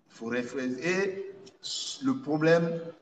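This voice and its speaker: Amid audible room echo, a man talks at a very slow pace with lively intonation. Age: 60s. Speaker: traditional dignitary. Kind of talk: interview. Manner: halting, repetitive.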